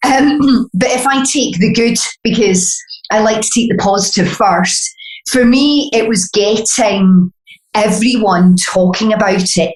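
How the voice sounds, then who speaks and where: A woman speaks with a Glaswegian accent. Her pace is fairly slow and her pitch fairly high. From Scotland, Glasgow. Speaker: beauty brand founder. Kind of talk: podcast interview.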